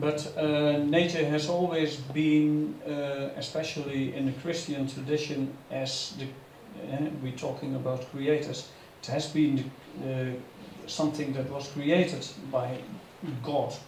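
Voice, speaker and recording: Noticeable background noise and audible room echo surround a man speaking at a fairly slow pace. His fairly high voice holds a monotone, flat intonation. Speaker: panelist, speaker on nature and technology. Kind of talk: panel discussion. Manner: halting.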